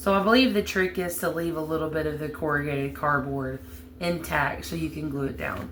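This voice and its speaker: The speaker has a strong Southern US accent. The pace is moderate. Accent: heavy Southern US. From US South, Alabama. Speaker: crafting YouTuber. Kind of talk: tutorial. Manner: casual, chatty.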